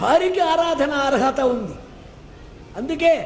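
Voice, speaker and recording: A man's voice over noticeable background noise. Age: old. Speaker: Puranic scholar and religious discourse speaker. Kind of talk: religious discourse. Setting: temple hall before a live audience.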